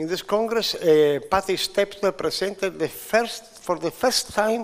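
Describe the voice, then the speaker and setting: A man with a Sicilian accent, high in pitch, at a fairly slow pace with ordinary pitch variation and noticeable background noise. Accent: Italian (Sicilian) accent in English. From Sicily, Italy. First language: Italian. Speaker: physician, IVF pioneer. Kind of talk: conference speech. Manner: halting, many hesitations.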